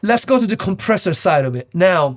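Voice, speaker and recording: The sound is dry and close with no echo, and the intonation is lively. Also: man. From Italy. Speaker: audio production video host. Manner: loud, tends to shout.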